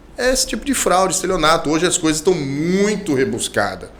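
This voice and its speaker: Amid audible room echo, a man speaks in a high pitch and an animated tone, with lively intonation at a moderate pace. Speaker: lawyer. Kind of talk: interview.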